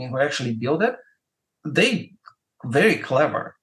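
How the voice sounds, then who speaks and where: Using very wide pitch swings, a man speaks at a moderate pace with a Russian accent. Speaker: music marketer and YouTuber. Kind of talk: podcast interview. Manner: hesitant, many fillers and repetitions.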